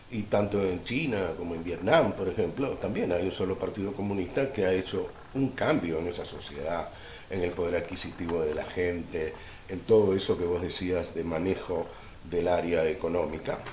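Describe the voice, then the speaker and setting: A man with a very deep, low pitch speaks at a moderate pace with ordinary pitch variation. Audible room echo and noticeable background noise are present. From Cuba, raised in Argentina. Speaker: lawyer. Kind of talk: interview.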